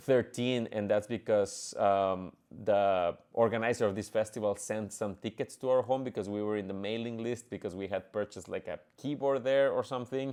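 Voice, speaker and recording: Fairly quick and fairly even in intonation, a man with a Spanish accent speaks at a fairly low pitch. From Mexico, Monterrey. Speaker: orchestra conductor and pianist. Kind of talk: podcast monologue. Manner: halting, many fillers.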